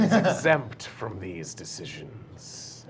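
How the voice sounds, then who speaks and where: A man's put-on character voice at medium pitch, with very wide pitch swings and a very slow pace, over clear background noise. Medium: actual play. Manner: formal, commanding.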